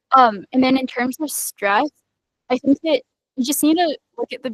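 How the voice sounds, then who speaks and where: A woman's high voice, showing ordinary pitch variation, moves at a fairly quick pace. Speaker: student software engineer panelist. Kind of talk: panel Q&A answer. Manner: fast.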